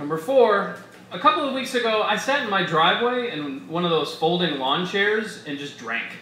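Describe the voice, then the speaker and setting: Noticeable background noise and audible room echo surround this man's voice. He speaks at a moderate pace with a high pitch and very wide pitch swings. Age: 30s. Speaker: essayist reading at a live literary event. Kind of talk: reading aloud a humorous personal essay. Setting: stage with audience in a bar.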